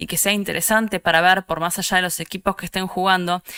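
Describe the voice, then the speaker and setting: With an Argentine accent, a woman speaks at a medium pitch in a bright, sharp tone, the sound dry and close with no echo. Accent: Rioplatense Argentine Spanish. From Argentina, Buenos Aires. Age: 30s. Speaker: esports producer and content creator. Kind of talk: conference talk. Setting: online event.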